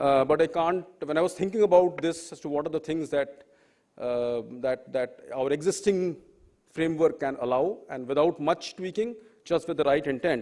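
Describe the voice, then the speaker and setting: The man's voice is fairly high and moves at a moderate pace. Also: ordinary pitch variation. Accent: Bengali. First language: Bengali. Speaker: professor, panel speaker. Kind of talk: panel talk. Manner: halting, many fillers.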